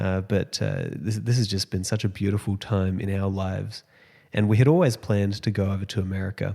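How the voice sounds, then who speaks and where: The recording is very clean with a silent background. A man with a dark, mellow tone speaks in an Australian accent with fairly even intonation. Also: fairly low pitch for a man, fairly quick pace. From Australia, Sunshine Coast. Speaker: podcast host. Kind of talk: podcast intro monologue. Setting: empty apartment at home. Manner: hesitant, many fillers.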